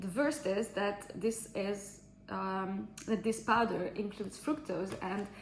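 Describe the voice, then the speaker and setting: A woman with a non-native accent speaks very slowly at a medium pitch with ordinary pitch variation. Noticeable background noise runs underneath. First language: not English. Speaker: fitness trainer. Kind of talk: casual vlog review. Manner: halting, many fillers.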